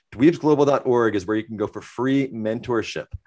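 A man at medium pitch with ordinary pitch variation and a moderate pace, an ordinary speaking voice against a quiet background. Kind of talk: casual interview.

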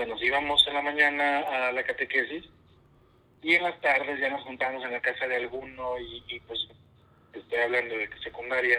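A man with an unremarkable speaking voice talks at a moderate pace and medium pitch, his intonation fairly even while his loudness swings widely. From northern Mexico, Coahuila. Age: 30s. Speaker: religious brother. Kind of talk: casual interview. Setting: remote call from home.

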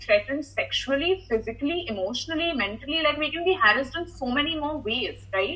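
A woman with a high pitch talks at a fairly quick pace in a raised, projected voice with lively intonation. Noticeable background noise sits behind her. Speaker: content creator. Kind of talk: casual interview.

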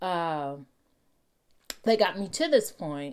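An animated tone carries a Texan accent. The recording is very clean with a silent background. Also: woman. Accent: Texan American English. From Texas. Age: 40s. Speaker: real estate agent. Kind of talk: solo podcast monologue.

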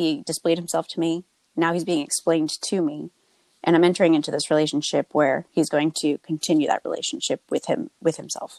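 With a normal speaking voice, a woman with an American accent talks at a fairly quick pace, her fairly low pitch held in fairly even intonation. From New Jersey. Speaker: wedding photographer. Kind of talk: testimony.

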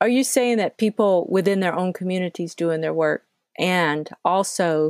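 Recorded very cleanly with a silent background and a dry, close sound with no echo, a woman with an American accent and a fairly low pitch uses an unremarkable speaking voice at a moderate pace. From US South, Georgia. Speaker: podcast host. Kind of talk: casual conversation.

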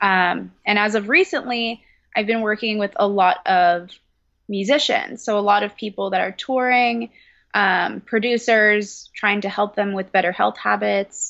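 A woman with an American accent and a plain, everyday voice, medium in pitch, with fairly even intonation at a fairly slow pace. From California. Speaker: personal trainer and health coach. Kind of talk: casual interview.

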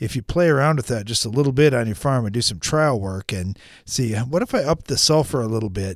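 A man speaks with lively intonation in a plain, everyday voice. The recording is very clean, with a silent background. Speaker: agronomy radio host and farmer. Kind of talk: radio talk show. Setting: studio.

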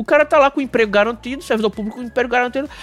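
The recording has a dry, close sound with no echo, and noticeable background noise. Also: man. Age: 40s. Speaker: podcast host. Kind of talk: casual chat.

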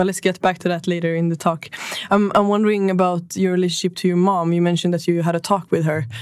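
Amid noticeable background noise, a woman with a Swedish accent speaks very fast in a fairly low, monotone, flat voice. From northern Sweden. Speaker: podcast host. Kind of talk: interview.

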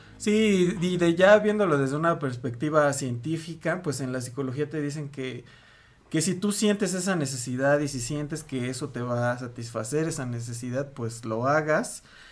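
A man with a Mexican accent speaks at a fairly high pitch and a moderate pace. His intonation is lively. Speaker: podcast co-host. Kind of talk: casual chat.

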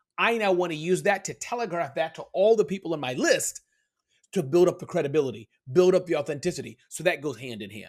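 On a very clean recording with a silent background, a man talks at a very fast pace with a high pitch, lively intonation, and big swings in loudness. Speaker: business speaker and author. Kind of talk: podcast interview. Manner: fast talker; stumbles over words.

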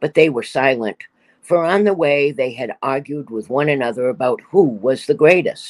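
Lively intonation marks an ordinary speaking voice, heard with a dry, close sound with no echo in a very clean recording with a silent background. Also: man. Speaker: scripture reader. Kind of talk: reading scripture aloud.

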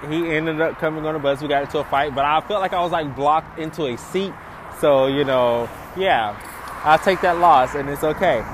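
At a fairly quick pace, a man speaks with a fairly high pitch and ordinary pitch variation over noticeable background noise. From US South, small-town Georgia. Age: young. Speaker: podcast host. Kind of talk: personal monologue while walking. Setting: outdoors, walking near an airport.

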